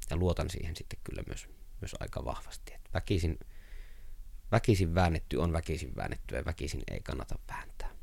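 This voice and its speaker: Someone whispers at a moderate pace. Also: man. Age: 30s. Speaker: writer. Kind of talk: interview. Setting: his workroom. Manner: chatty, storytelling.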